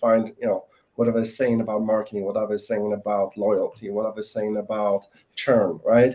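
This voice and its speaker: A man with a non-native accent speaks at a fairly quick pace, pitched in the middle range. His tone is dark and mellow, and his intonation fairly even. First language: not English. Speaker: salesperson. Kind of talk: panel discussion. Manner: hesitant, many fillers.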